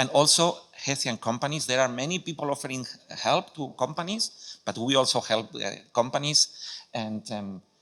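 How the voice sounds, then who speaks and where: Over a silent background in a very clean recording, a man with a Spanish accent talks at a moderate pace, his medium pitch showing ordinary variation. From Spain. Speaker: welcome center adviser. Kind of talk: conference presentation. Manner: halting, many fillers and restarts.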